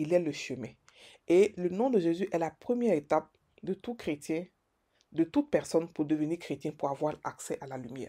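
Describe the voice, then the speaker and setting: Speaking at a moderate pace with long, frequent pauses, a woman with a fairly low voice uses lively intonation and big swings in loudness. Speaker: preacher. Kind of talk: devotional sermon-style meditation. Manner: emphatic, repetitive, preacher cadence with Alleluia refrains; fervent, declarative, stumbling repetitions.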